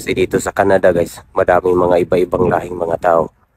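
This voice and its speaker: The pace is moderate. The sound is dry and close, without any echo. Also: man. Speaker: assistant teacher. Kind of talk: casual vlog talk to camera.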